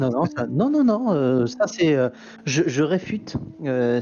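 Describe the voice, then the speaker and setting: A man with a medium pitch and lively intonation, at a fairly slow pace. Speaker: co-commentator. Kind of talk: live race commentary.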